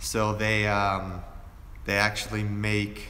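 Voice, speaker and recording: Relaxed yet bright and sharp in tone, a fairly low-pitched man with an American accent speaks amid audible room echo. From Pennsylvania, Erie. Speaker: fashion youtuber. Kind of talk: live stream q&a. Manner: casual, relaxed.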